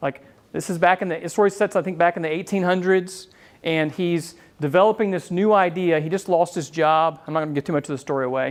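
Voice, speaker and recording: Speaking with fairly even intonation, the man has a high pitch. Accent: slight Southern US. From US South, Florida. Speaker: business owner and marketing speaker. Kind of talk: talk to a live audience. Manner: casual, with many fillers.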